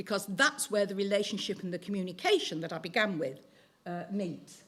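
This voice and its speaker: At a fairly quick pace, a woman with an ordinary speaking voice and ordinary pitch variation shows big swings in loudness. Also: medium pitch for a woman. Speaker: teacher giving a talk on teaching. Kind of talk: talk to church audience.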